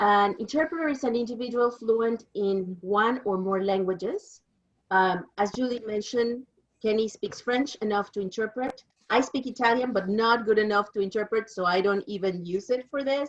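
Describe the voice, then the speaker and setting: A woman with a Mexican accent at a moderate pace, with lively intonation. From Mexico. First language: Spanish. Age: 50s. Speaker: interpreter. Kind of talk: presentation.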